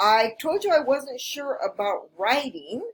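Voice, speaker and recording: Here a woman speaks at a very slow pace. Her pitch swings very widely. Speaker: English teacher. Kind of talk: tutorial.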